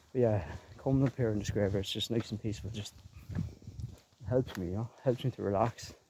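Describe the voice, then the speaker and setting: Talking at a fairly quick pace, a man with a Leinster accent uses a medium pitch and ordinary pitch variation. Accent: Irish (Leinster). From Ireland, Co. Kildare. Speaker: gaming and music YouTuber. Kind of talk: casual vlog while walking. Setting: outdoors in a graveyard.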